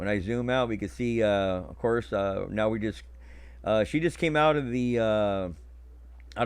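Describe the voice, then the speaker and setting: A man talks at a moderate pace over a quiet background. His pitch is fairly low and his intonation lively. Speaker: live-stream commentator. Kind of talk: casual live stream commentary. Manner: halting, many fillers.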